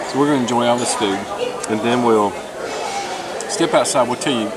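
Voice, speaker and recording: A man's voice over loud background noise. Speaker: travel food vlogger. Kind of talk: casual vlog chat. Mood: cheerful, relaxed. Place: cafe. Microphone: phone near.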